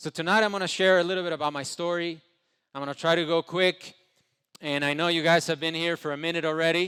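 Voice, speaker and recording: On a very clean recording with a silent background, a man talks very fast in a high, bright, sharp voice with monotone, flat intonation. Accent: Spanish. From Ecuador. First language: Spanish. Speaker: entrepreneur. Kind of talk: motivational speech. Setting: stage with audience.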